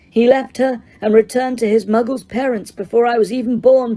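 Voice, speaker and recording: This put-on character voice moves at a fairly quick pace. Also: woman, fairly high pitch for a woman. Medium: read story. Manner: soft, cold, menacing.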